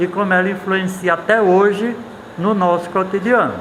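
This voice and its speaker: A man talks with a high pitch for a male voice. The room echo is audible, and background noise is noticeable. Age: 70s. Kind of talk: casual interview talk. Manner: halting, with repeated fillers.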